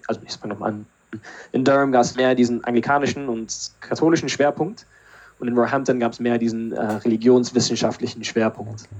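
Fairly quick delivery with fairly even intonation. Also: man, medium pitch for a man. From Berlin, Germany. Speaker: theologian and podcast co-host. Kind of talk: casual chat. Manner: halting.

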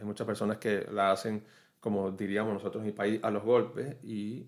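A man with a plain, everyday voice at medium pitch, moderate pace, very clean recording and silent background. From Venezuela. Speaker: podcast host on online entrepreneurship. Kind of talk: solo podcast monologue. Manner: conversational with frequent fillers.

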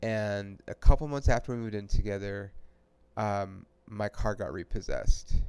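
In a very clean recording with a silent background, a man speaks at a moderate pace, his fairly low pitch held in fairly even intonation. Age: 40s. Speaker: podcast host. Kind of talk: casual chat.

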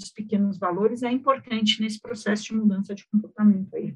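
A somewhat breathy woman's voice, fairly high, with ordinary pitch variation and a fairly quick pace. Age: 40s. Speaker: financial education expert. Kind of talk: casual chat.

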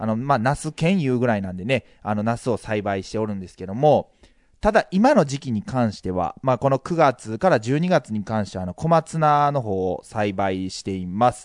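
A man speaks in an ordinary speaking voice at medium pitch, with lively intonation and big swings in loudness. The pace is moderate, and the sound is dry and close with no echo over a quiet background. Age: 30s. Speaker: podcast co-host. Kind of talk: casual chat.

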